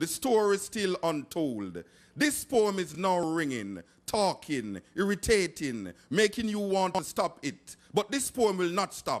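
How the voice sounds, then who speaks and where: Lively intonation runs through this fairly slow delivery, captured in a very clean recording with a silent background. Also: man, high pitch for a man. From Jamaica. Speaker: poet. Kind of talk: poetry reading.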